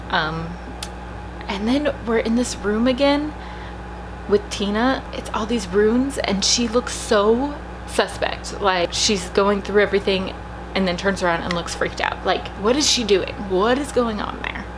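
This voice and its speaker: The soft-spoken voice moves at a fairly slow pace, with audible room echo and noticeable background noise. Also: woman. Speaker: YouTuber reacting to movie trailers. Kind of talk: trailer reaction video. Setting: at home. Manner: quiet, trying to speak softly.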